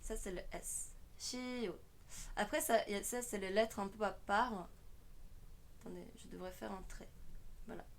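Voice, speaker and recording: A woman's voice with a Korean accent and audible room echo. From South Korea. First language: Korean (speaking French). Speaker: online language teacher, streamer. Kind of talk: tutorial.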